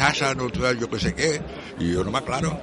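A man speaks at a moderate pace with very wide pitch swings. Noticeable background noise sits behind him. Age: 70s. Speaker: elderly man with low vision. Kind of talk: interview testimony. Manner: halting.

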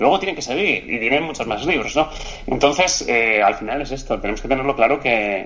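Over noticeable background noise, a man talks at a fairly quick pace. His pitch is medium and his intonation lively. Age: 40s. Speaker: physiotherapist, coach and author. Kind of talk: casual interview.

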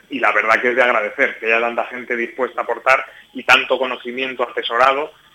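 Against noticeable background noise, a man speaks at a very fast pace in a monotone, flat voice. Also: medium pitch for a man. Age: 30s. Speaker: mayor and regional politician. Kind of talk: radio interview.

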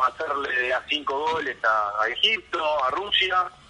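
A man talks over noticeable background noise. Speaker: football commentator. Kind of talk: casual phone interview. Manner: halting, many repetitions.

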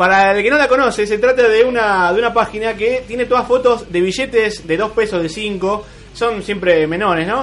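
Talking at a moderate pace with hardly any pauses, a man uses a high pitch and ordinary pitch variation. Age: 20s. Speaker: radio host. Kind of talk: radio show with interview. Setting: radio studio, live broadcast.

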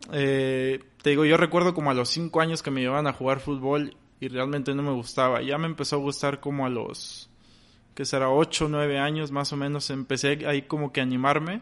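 Against a quiet background, a man speaks at a moderate pace. His pitch is fairly high and his intonation monotone and flat. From Mexico, Victoria, Tamaulipas. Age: 20s. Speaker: goalkeeper content creator. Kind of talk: interview.

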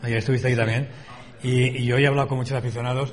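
A man at medium pitch is heard with noticeable background noise and audible room echo. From Spain, Valencia. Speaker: bullfighting radio host. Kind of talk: radio talk show. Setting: hotel, live radio broadcast.

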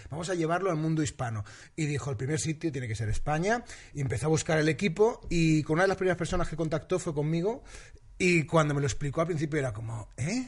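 With a quiet background, a man of fairly high pitch talks at a very fast pace with lively intonation. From Valencia, Spain. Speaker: TV presenter and comedian. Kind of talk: casual interview chat.

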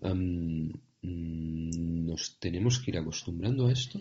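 A man speaks at a very deep, low pitch in a somewhat breathy voice. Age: 40s. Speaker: podcast host, entrepreneur. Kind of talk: interview.

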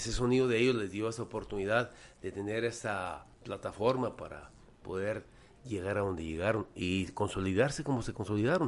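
A man with an ordinary speaking voice talks at a moderate pace in a fairly low pitch, his lively intonation paired with big swings in loudness. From Mexico, Guadalajara. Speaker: singer-songwriter and cultural promoter. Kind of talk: casual chat. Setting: studio.

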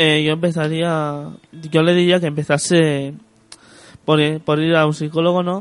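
Delivered at a fairly slow pace, the speech is monotone and flat, broken by long, frequent pauses. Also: man, fairly high pitch for a man. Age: young. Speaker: guest with social anxiety experience. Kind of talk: radio interview. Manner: halting.

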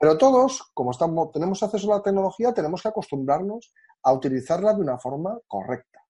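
A man's dark, mellow, somewhat breathy voice with very wide pitch swings at a fairly quick pace, over a quiet background. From Galicia, Spain (Orense). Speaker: hosting company country manager. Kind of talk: interview.

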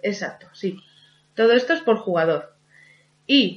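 The background is quiet as a woman speaks. Her pitch is fairly high and her intonation lively. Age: 40s. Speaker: podcast co-host. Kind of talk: casual chat.

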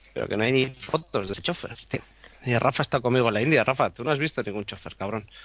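A man with a mid-range voice races through his words, his pitch varying in a normal way. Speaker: photographer. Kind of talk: casual chat. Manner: animated.

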